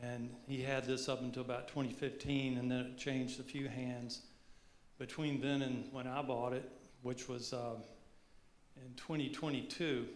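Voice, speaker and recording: A man talks at a moderate pace with a medium pitch and a monotone, flat intonation, and audible room echo surrounds his voice. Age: 70s. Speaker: car owner. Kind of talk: panel discussion. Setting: stage with audience.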